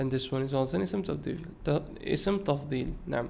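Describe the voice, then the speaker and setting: A man with a Bengali accent, lively intonation and a fairly slow pace, plus audible room echo. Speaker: Arabic and hadith teacher. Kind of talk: lecture. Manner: mixes Arabic and English, with hesitations.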